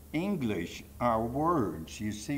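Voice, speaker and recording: A man's medium-pitched voice with vocal fry and audible room echo. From Poland, Warsaw. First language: Polish. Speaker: Holocaust survivor speaker. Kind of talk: testimony.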